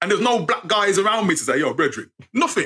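Raised and projected, a man's high-pitched voice with an English accent moves at a fairly quick pace, its tone animated, bright and sharp. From England, Birmingham. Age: 50s. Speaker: writer and storyteller. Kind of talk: casual chat.

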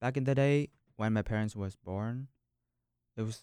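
A man with a Vietnamese accent in a dry, close sound with no echo. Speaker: university student. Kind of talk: casual discussion.

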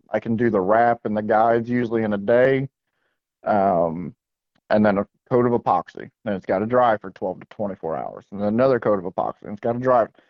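Talking at a fairly quick pace, a man with an American accent has an unremarkable speaking voice with a fairly low pitch. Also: ordinary pitch variation. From South Florida (West Palm Beach). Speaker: fishing rod and rig maker. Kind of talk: casual interview.

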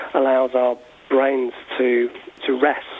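A man with an English accent talks at a fairly slow pace. His pitch is fairly high, and background noise is noticeable. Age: 40s. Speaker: university lecturer and author. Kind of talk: radio interview. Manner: hesitant, many fillers.

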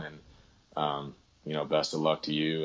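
Speaking with an American accent, this man has a very deep, low voice. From Northern California. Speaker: hunter. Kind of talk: casual chat.

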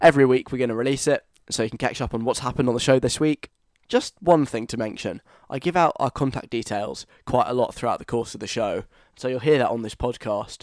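A man talks at a very fast pace with a southern English accent. The sound is dry and close, with no echo. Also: medium pitch for a man, ordinary pitch variation. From London. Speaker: radio host. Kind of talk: radio show monologue. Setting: studio. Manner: casual chatty.

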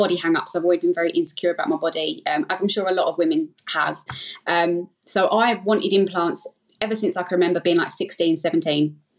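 Speaking at a very fast pace in an Essex accent, a woman holds a medium pitch with ordinary pitch variation. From Essex, England. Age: 30s. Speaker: breast implant illness survivor. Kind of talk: casual interview, personal story.

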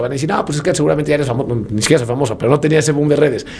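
The speaker is a man with a fairly high pitch. Background noise is noticeable. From Mexico, Puebla. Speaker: marathon runner and running entrepreneur. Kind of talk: casual interview chat.

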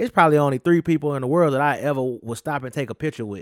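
A man with a Southern US accent speaks in a fairly high voice. The sound is dry and close with no echo, a very clean recording with a silent background. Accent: Southern US drawl. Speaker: podcast co-host. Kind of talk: casual chat.

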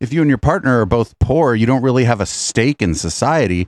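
A man has an unremarkable speaking voice with a medium pitch and lively intonation, at a fairly quick pace. The sound is dry and close with no echo, against a quiet background. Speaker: comedy podcast host. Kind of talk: casual chat. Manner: joking.

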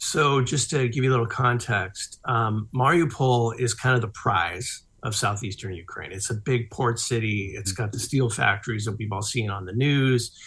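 A man with an ordinary speaking voice, medium pitch and ordinary pitch variation, moderate pace, hardly any pauses, quiet background. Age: 50s. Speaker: author and ghostwriter. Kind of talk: interview.

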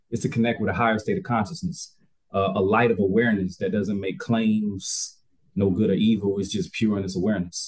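Somewhat breathy and fairly low-pitched, a man speaks at a fairly quick pace with ordinary pitch variation. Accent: American. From US South, Albany, Georgia. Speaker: wellness coach and yoga instructor. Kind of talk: casual interview chat.

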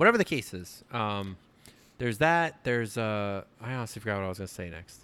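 Lively intonation and a bright, sharp tone mark this man's voice at a fairly quick pace. The recording is very clean, with a silent background. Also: fairly low pitch for a man. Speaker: guest fill-in co-host. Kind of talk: casual chat.

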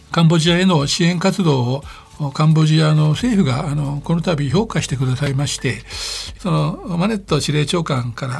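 A man speaks at a fairly high pitch with ordinary pitch variation. Noticeable background noise runs under him. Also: moderate pace. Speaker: NGO chairman. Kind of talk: radio interview. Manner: hesitant, many fillers; polite formal.

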